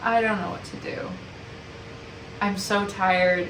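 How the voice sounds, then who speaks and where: A woman speaks over noticeable background noise, with audible room echo. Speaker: vlogger. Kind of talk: casual vlog monologue.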